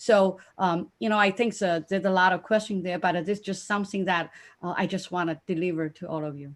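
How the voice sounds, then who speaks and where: With a Chinese accent, a woman at medium pitch talks at a fairly quick pace with hardly any pauses, ordinary pitch variation and big swings in loudness, on a very clean recording with a silent background. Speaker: conference panelist, business mentor. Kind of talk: panel discussion. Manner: halting.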